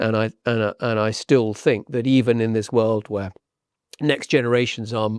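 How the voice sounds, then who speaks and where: In a southern English accent, a man of medium pitch talks at a moderate pace with fairly even intonation, the sound dry and close with no echo and the recording very clean against a silent background. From southern England, Hampshire. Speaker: property agent. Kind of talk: podcast interview. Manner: repeats words, hesitant starts.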